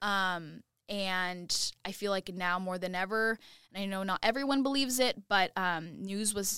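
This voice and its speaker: A woman speaks in a West Coast accent at a medium pitch and fairly slow pace, with a bright, sharp tone. The sound is dry and close with no echo, on a very clean recording with a silent background. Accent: general American (West Coast). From US West Coast (Oregon). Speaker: TV news reporter. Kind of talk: casual interview.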